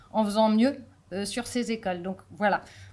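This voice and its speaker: A fairly quick pace drives this speech. It comes from a woman. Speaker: deputy mayor, local politician. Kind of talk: conference talk. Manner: fast; hesitant, many fillers.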